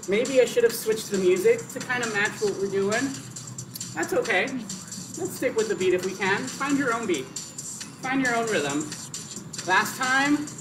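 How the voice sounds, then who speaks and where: A man with lively intonation and long, frequent pauses, music playing in the background. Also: moderate pace. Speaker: fitness instructor. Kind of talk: live workout instruction. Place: garden. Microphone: camera far.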